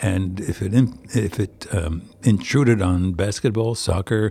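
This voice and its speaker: Fairly low in pitch and somewhat breathy, a man's voice has a dark, mellow tone and moves at a fairly slow pace. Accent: American. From New Jersey, US. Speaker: stage actor. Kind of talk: interview. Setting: theater dressing room.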